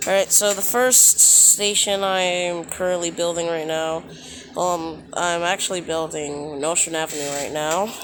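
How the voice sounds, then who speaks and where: At a fairly slow pace, a man speaks quietly with a high pitch. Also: fairly even intonation. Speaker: YouTuber building transit maps in a game. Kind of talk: gameplay tutorial commentary. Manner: quiet, hushed; halting, many fillers.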